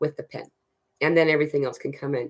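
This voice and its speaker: A woman's very deep, low voice. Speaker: spiritual channel host. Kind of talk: live Q&A stream. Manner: fast; halting.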